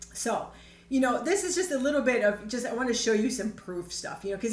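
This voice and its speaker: A woman with an American accent speaks at a fairly high pitch and with lively intonation. Audible room echo surrounds her voice. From Chicago area, US. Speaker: network marketing trainer. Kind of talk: online training presentation. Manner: casual, conversational.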